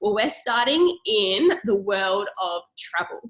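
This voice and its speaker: A somewhat breathy woman's voice with an Australian accent. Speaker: network marketing presenter. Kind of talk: sales pitch. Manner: animated.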